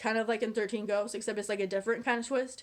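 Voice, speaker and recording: A woman's voice, fairly high in pitch. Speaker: YouTuber, movie reviewer. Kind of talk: casual vlog review. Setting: on camera. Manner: fast; animated.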